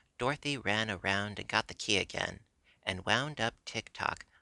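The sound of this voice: The speaker uses an unforced reading voice.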